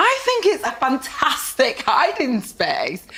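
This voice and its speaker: Over noticeable background noise, a woman with a northern English accent speaks in an animated tone at an extremely high pitch, with very wide pitch swings. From northern England, Blackburn, Lancashire. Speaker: panel show guest. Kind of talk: comedy panel show banter.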